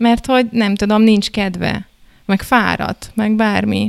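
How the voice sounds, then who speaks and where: A woman's unremarkable speaking voice at a medium pitch and a fairly slow pace. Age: 30s. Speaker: couples therapist. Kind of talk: casual panel discussion.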